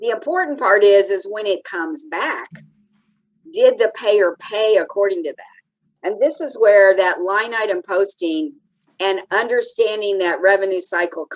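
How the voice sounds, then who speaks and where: In a dry, close sound with no echo, a woman with a normal speaking voice talks at a fairly slow pace with lively intonation. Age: 60s. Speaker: anesthesia billing and coding expert. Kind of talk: interview.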